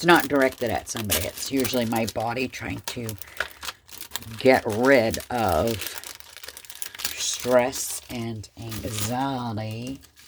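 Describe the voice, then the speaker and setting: Very slow speech full of long, frequent pauses, with noticeable background noise. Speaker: crafting YouTuber. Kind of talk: casual craft tutorial.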